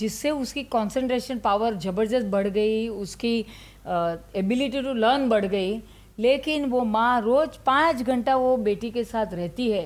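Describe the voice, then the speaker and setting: A woman's fairly high pitch with ordinary variation, an ordinary speaking voice. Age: 60s. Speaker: ayurveda doctor. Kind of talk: interview.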